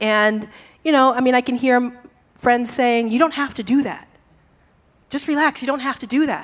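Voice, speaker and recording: Speaking with an American accent, a woman with a high pitch keeps a fairly even intonation at a moderate pace, with long, frequent pauses. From Boston, Massachusetts. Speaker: professor. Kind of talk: panel discussion. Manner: soft-spoken.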